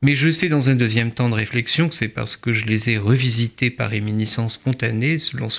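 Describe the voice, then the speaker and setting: Recorded very cleanly against a silent background, a man speaks at a moderate pace with medium pitch and ordinary pitch variation. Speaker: writer and translator. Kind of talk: interview; reading aloud. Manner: halting.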